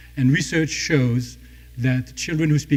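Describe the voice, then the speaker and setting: Speaking at a fairly quick pace, a man has a somewhat breathy voice with a dark, mellow tone. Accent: non-native. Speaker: startup founder and CEO. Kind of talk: pitch presentation.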